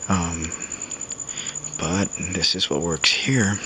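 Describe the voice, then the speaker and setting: A man talks in a very deep, low voice with a calm tone. His intonation is fairly even, and there is noticeable background noise. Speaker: navy veteran, former corpsman. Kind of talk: casual talk to camera. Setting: outdoors.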